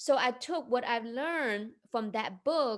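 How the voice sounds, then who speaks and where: A woman's high voice with a Chinese accent, lively intonation and a fairly slow pace. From China. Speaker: entrepreneur and investment coach. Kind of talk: interview.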